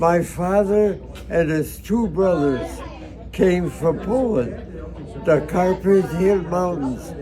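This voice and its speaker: Crowd noise sits in the background as a man with an American accent speaks at a very slow pace. His pitch is high, with ordinary variation. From United States. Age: 80s+. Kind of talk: interview answer. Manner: hesitant, halting.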